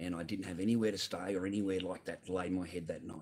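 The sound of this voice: A man talks at a fast pace and low pitch, his slightly mellow tone carrying a slightly husky edge and fairly even intonation.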